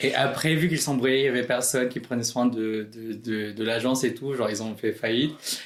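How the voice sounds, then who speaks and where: A man's medium-pitched voice at a fairly quick pace, over noticeable background noise. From Philippines. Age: 20s. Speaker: drag queen. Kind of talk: podcast interview. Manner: hesitant, many fillers.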